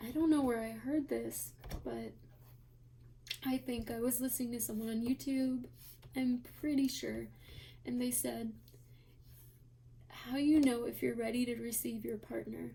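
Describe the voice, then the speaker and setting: A soft-spoken woman talks at a fairly slow pace. She leaves long, frequent pauses. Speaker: tarot reader. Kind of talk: tarot reading video. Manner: quiet, soft-spoken.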